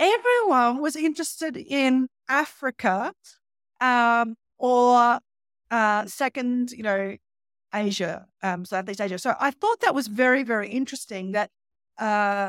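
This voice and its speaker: With an Australian accent, a woman speaks fairly slowly in a fairly high voice with ordinary pitch variation, heard in a very clean, dry, close recording with a silent background and no echo. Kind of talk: casual chat.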